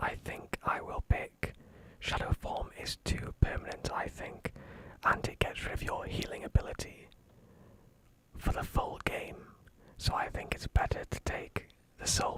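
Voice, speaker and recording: A whispered voice with a gentle, calm tone moves at a fairly slow pace, broken by long, frequent pauses over noticeable background noise. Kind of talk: whispered gaming commentary. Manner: whispered, gentle, calm.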